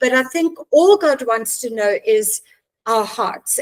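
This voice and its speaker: A woman speaks in a plain, everyday voice, fairly high in pitch, with ordinary pitch variation. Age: 60s. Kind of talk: podcast interview.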